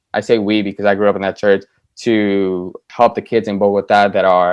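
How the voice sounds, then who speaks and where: Speaking with a Spanish accent, a man uses a fairly low pitch and monotone, flat intonation at a moderate pace. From South Florida, born in Colombia. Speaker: TV writer. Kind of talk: interview. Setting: video call. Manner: rambling, casual.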